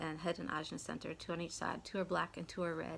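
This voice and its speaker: A woman's fairly low voice with an American accent. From New York City, raised by Midwestern parents. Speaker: Human Design teacher. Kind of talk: casual talk to camera.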